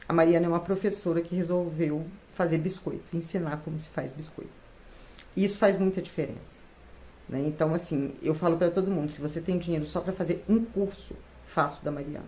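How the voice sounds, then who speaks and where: Somewhat breathy and fairly low, a woman's voice moves at a fairly quick pace. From Minas Gerais, Brazil (São João del Rei). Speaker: retired civil servant, baking course student. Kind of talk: testimony.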